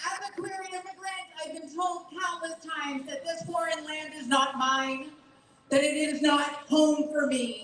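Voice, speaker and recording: There is audible room echo as a woman speaks in a high voice with ordinary pitch variation. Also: big swings in loudness. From Bolivia. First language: Spanish. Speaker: LGBTQ nonprofit director. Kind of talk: rally speech. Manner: emphatic, rousing.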